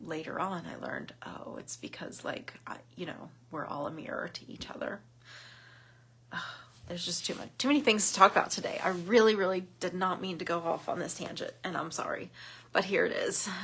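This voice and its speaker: In an American accent, a woman with a plain, everyday voice talks at a fairly quick pace, with ordinary pitch variation and big swings in loudness. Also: medium pitch for a woman. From southern Ohio. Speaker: women's group leader. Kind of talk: casual Facebook live talk. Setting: Facebook live video. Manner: rambling, many fillers.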